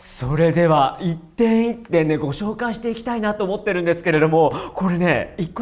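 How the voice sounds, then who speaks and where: The tone is animated. The pace is fairly quick. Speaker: hair and makeup artist. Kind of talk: beauty product review talk to camera. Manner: chatty, animated.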